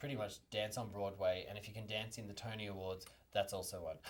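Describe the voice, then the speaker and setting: The voice carries an Australian accent at a fairly quick pace. It sounds somewhat breathy. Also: man. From Australia, small country town. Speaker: dancer. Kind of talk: interview. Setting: studio. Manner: halting.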